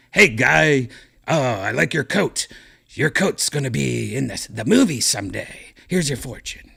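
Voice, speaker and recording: The man puts on a character voice. His pitch sits at a medium level. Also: moderate pace. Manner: casual, salesy.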